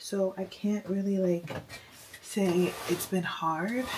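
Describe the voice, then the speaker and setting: A woman whispers with noticeable background noise in the recording. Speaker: mom vlogger. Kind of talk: casual vlog talk to camera. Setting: at home. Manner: whispering.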